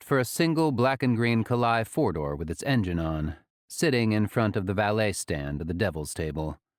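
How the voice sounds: Set against a quiet background, a natural reading voice moves with lively intonation.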